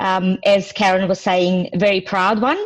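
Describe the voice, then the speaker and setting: A woman talks at a fairly slow pace with a non-native accent. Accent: foreign. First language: not English. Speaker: training manager. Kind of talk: presentation.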